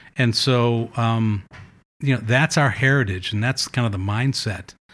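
A man with an American accent and a normal speaking voice, at a moderate pace with fairly even intonation, on a very clean recording with a silent background. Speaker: author. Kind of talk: casual chat. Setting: kitchen.

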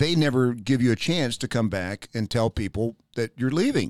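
Speaking at a fairly quick pace and medium pitch, a man sounds animated with lively intonation, on a very clean recording with a silent background and a dry, close sound with no echo. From US South, Knoxville, Tennessee. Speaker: radio host and podcaster. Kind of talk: casual interview chat. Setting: studio.

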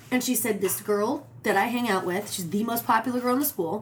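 Against noticeable background noise, a woman with an American accent speaks at a fairly high pitch. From Arizona, Phoenix area. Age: 30s. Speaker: actress and singer. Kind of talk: casual chat. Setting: in a home.

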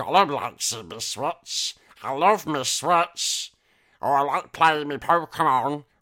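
On a very clean recording with a silent background, a man puts on a character voice, pitched fairly high and delivered at a fairly slow pace.

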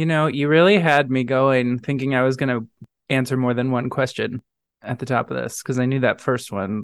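A man with an American accent and a normal speaking voice, medium pitch, fairly quick pace, fairly even intonation, and a dry, close sound with no echo. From St. Louis, Missouri. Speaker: quiz contestant. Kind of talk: casual chat. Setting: remote call.

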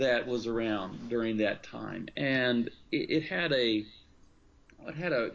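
A man with a normal speaking voice at a medium pitch and ordinary pitch variation. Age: 50s. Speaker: pastor and author. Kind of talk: interview.

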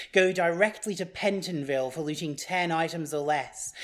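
Speaking at a moderate pace, a woman uses a plain, everyday voice with a fairly low pitch. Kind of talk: spoken word poetry performance.

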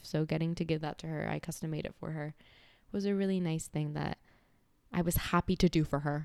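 On a very clean recording with a silent background, a woman with a fairly low voice speaks in an animated tone. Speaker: podcast host. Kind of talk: casual solo chat. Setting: home recording with mic.

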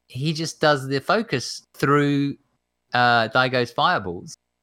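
Lively intonation and a bright, sharp tone on a very clean recording with a silent background. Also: man. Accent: English. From England. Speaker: fighting game player and streamer. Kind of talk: casual chat. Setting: live stream, own home.

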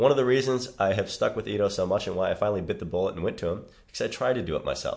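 In a Chicago accent, a man speaks at a very fast pace against a quiet background. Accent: Chicago American. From US Midwest, Chicago. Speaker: movement coach. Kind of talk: casual interview.

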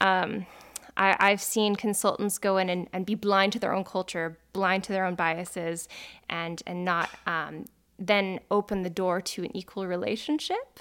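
On a very clean recording with a silent background, a woman with an unremarkable speaking voice talks at a medium pitch and a fairly slow pace, with fairly even intonation. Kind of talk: interview.

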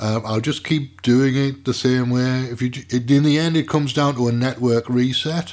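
Speaking with a British accent, a man at medium pitch keeps a moderate pace, fairly even intonation and hardly any pauses. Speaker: podcaster and radio show host. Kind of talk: casual monologue. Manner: relaxed, rambling.

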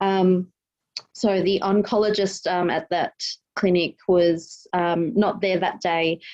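In an Australian accent, a woman speaks very slowly at a medium pitch with fairly even intonation. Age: 30s. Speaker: police officer. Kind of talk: interview.

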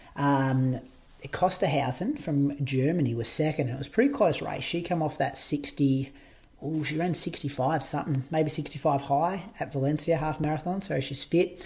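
A man with an Australian accent, fairly high-pitched, fairly slow, with fairly even intonation. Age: 30s. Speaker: podcast host and marathon runner. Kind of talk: casual chat.

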